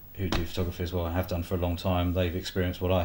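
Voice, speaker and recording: Somewhat breathy, a man talks with a very deep, low pitch. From England, East Sussex. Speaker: photographer. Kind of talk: casual vlog talk to camera. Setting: filming himself on camera. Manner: halting, many fillers.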